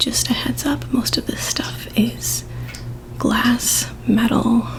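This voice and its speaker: A soft-spoken woman whispers at a very slow pace against noticeable background noise. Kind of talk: ASMR show and tell, casual talk to camera. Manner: whispered, soft-spoken.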